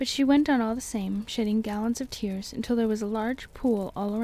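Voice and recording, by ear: This voice is reading aloud. It sounds like a natural voice.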